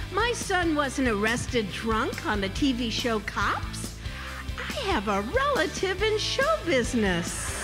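A woman talks at a very slow pace while clear music sounds behind her. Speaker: comedian and humorous motivational speaker. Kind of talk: live stand-up keynote to audience. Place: stage. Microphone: handheld.

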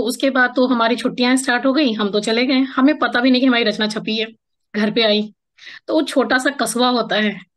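Against a quiet background, a woman with a high voice speaks at a moderate pace. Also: ordinary pitch variation. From Bihar, Araria district; Bihar, India. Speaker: writer and poet; podcast guest, poet. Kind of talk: interview conversation. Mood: warm, reminiscing. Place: home room. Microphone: video call.

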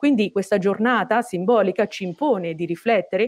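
A woman talks at a fairly quick pace. Her background is quiet. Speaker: moderator. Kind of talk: formal event introduction. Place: office. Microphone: earbuds.

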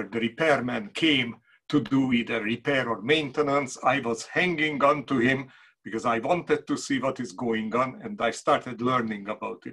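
A bright, sharp tone at a moderate pace, with ordinary pitch variation and a quiet background. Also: man. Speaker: presenter. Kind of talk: lecture. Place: workshop. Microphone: video call.

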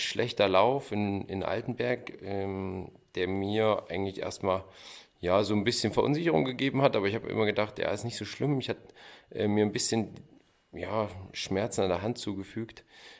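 In a very clean recording with a silent background, a man with a fairly low pitch has a normal speaking voice. He talks at a moderate pace with ordinary pitch variation. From Thuringia, Gotha district. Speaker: luge athlete. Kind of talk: interview.

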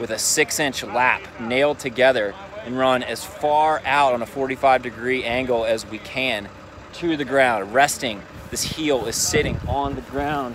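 A man talks fairly slowly, his intonation fairly even, against noticeable background noise. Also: dry sound with no echo. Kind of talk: tutorial. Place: open country. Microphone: phone near.

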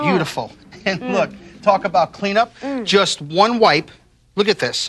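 With an enthusiastic tone and a high pitch, a man speaks fairly slowly over light background noise. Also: ordinary pitch variation. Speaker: TV chef and infomercial host. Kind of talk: infomercial product demonstration. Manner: enthusiastic, salesy. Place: studio. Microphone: lapel.

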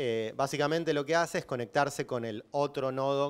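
In a Rioplatense accent, a man talks at a fairly high pitch. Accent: Argentine Rioplatense Spanish. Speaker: systems engineer, bitcoin developer; conference speaker. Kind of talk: lecture. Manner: loud. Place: hall. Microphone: handheld.

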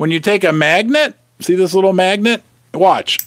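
Against a quiet background, a man's voice comes through dry with no echo. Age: 50s. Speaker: precious metals youtuber. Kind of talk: live stream chat reading viewer comments. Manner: animated. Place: shop. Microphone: studio mic.

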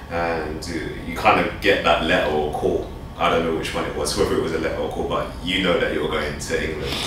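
A man talking at a fairly quick pace, with noticeable background noise and audible room echo. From England. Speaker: interviewer. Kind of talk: interview. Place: office.

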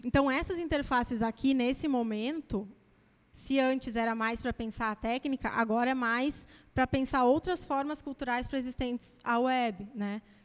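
At a moderate pace, a woman talks at a high pitch with ordinary pitch variation. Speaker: academic speaker presenting her master's dissertation; speaker. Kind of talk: academic lecture. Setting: auditorium with audience. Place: classroom. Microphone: handheld.

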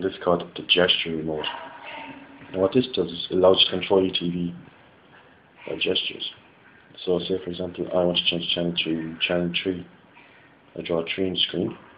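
A man with a very deep, low pitch, a monotone, flat intonation and a fairly quick pace, broken by long, frequent pauses, over light background noise. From West Clare, Ireland. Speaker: engineering student. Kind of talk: product demo talk to camera. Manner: casual, hesitant. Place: home room. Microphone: phone near.

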